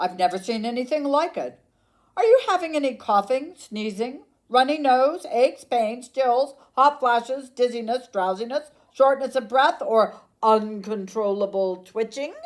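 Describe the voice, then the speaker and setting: A woman adopts a put-on character voice pitched high. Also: moderate pace. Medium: read story. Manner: fussy.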